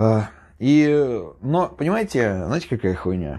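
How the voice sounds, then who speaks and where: A man talks in a dark, mellow tone with lively intonation. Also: quiet background. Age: 30s. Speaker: YouTuber, former prisoner. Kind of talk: casual monologue storytelling. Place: home room.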